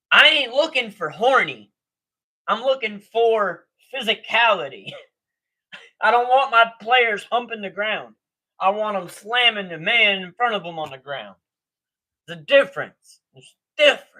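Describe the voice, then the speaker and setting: Delivered at a moderate pace, the speech has long, frequent pauses. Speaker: sports livestream host. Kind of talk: live reaction stream. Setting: livestream with audio in earpiece. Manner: loud.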